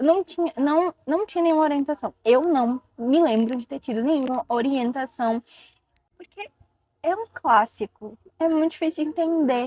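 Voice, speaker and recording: The recording of this woman sounds dry and close, without any echo. She talks at a moderate speed. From Ceará, Brazil. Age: 20s. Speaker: book content creator. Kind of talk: casual talk to camera.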